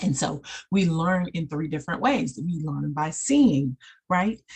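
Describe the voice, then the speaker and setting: At a fairly slow pace, a woman with a very deep, low pitch sounds animated and somewhat breathy. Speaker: life coach and counselor. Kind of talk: online training presentation. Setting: screen-shared video.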